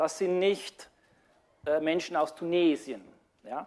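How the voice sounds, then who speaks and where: A man speaks, taking a fairly slow pace. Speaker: lecturer. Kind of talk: lecture. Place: hall. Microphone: lapel.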